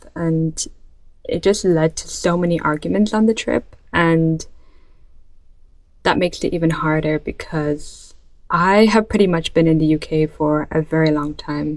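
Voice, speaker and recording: A woman with a slight Irish accent and a fairly low pitch speaks at a fairly slow pace with fairly even intonation. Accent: light Irish. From born in Ireland, moved to UK about ten years ago as a child. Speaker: vlogger. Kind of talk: casual vlog monologue. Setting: bedroom.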